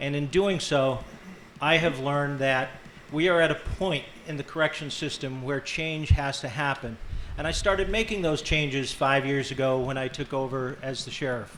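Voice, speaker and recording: Moderate-paced speech from a man with a fairly high pitch, plus audible room echo. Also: ordinary pitch variation. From western Massachusetts, born in Ireland. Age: 60s. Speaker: county sheriff and candidate. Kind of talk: debate opening statement. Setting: grange hall with live audience.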